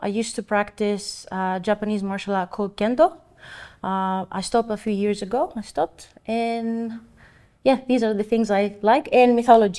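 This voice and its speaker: Recorded very cleanly against a silent background, a woman with a Greek accent speaks at a moderate pace, her fairly high pitch carrying a dark, mellow tone and ordinary pitch variation. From Greece (island of Samos). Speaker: painter and art teacher. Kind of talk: oral history interview.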